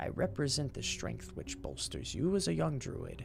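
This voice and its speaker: A man puts on a raspy character voice at a moderate pace. Clear background noise can be heard. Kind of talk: archaic, formal. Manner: grand, guiding.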